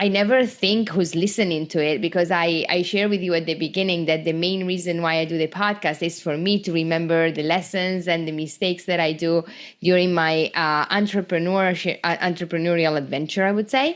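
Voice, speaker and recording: A woman with an Italian accent, fairly low-pitched, at a moderate pace with fairly even intonation and very even loudness. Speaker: small business owner, podcast host. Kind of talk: casual podcast talk.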